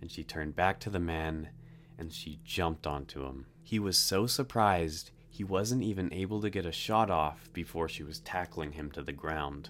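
Very deep and low in pitch, a man talks with ordinary pitch variation. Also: moderate pace. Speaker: true crime podcaster. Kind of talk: true-crime narration. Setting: online podcast and video. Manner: grave, measured storytelling with suspenseful build.

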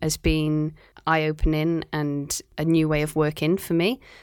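On a very clean recording with a silent background, a woman talks at a fairly slow pace in a very deep, low voice. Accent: Cardiff. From Wales, Cardiff. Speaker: marine biologist. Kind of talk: casual interview.

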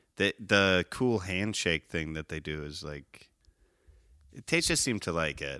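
In a very clean recording with a silent background and a dry, close sound with no echo, a man with a very deep, low pitch and a bright, sharp tone speaks at a fairly slow pace, showing ordinary pitch variation and big swings in loudness. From Chicago suburbs, Illinois. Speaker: podcast guest. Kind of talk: casual chat. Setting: studio, in person.

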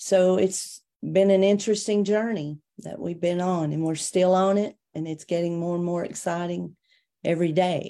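Speaking with a Tennessee accent, a woman uses a dark, mellow tone, a fairly low pitch, fairly even intonation and a moderate pace. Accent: Southern US (Tennessee). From US South, Tennessee (near Chattanooga). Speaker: minister. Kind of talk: interview testimony.

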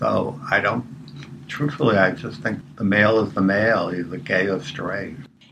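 A man talks with a fairly low pitch and ordinary pitch variation. Noticeable background noise runs underneath. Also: moderate pace. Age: 70s. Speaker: retired guest. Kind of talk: interview.

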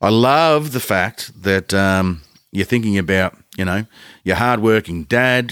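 Recorded very cleanly against a silent background, a man with an Australian accent speaks with ordinary pitch variation. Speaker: podcast host. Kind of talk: casual chat. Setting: studio.

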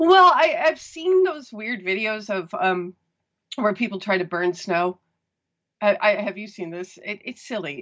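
This woman, speaking with a Midwestern American accent, has a medium pitch, very wide pitch swings, and a moderate pace. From US Midwest. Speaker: caller. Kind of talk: phone call chat.

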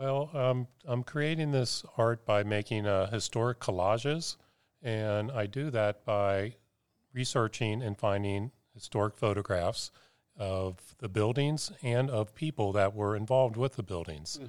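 A man with an American accent and an unremarkable speaking voice talks at a medium pitch, fairly slow pace and ordinary pitch variation. The sound is dry and close with no echo, on a very clean recording with a silent background. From Cincinnati, Ohio. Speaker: photographer. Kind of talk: casual chat.

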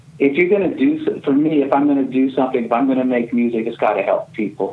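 There is noticeable background noise behind this man. He has a fairly high pitch and an American accent. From US West Coast, California redwoods. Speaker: singer-songwriter and record label founder. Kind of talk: interview conversation.

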